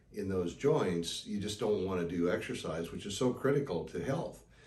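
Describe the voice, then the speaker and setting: Somewhat breathy and fairly low in pitch, a man speaks at a fairly slow pace with lively intonation amid audible room echo. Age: 70s. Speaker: knee surgery patient. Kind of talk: interview testimony. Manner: conversational with fillers.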